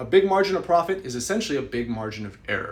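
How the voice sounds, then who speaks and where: Talking at a very fast pace, a man uses an animated tone and a high pitch. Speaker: real estate investor and educator. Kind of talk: live stream talk.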